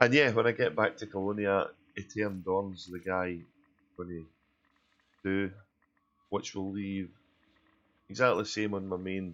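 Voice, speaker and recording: A man speaks with a very deep, low pitch and a Glaswegian accent. His pace is fairly slow, his tone relaxed and his intonation fairly even. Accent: Glaswegian Scottish. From Glasgow, Scotland. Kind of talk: casual gameplay commentary. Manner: relaxed, chatty.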